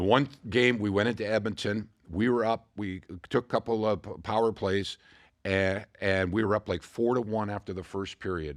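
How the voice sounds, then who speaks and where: With a Canadian accent, a man speaks in a plain, everyday voice at a moderate pace, with a fairly low pitch and ordinary pitch variation. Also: quiet background. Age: 60s. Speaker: former hockey player and broadcaster. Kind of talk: podcast interview. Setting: studio.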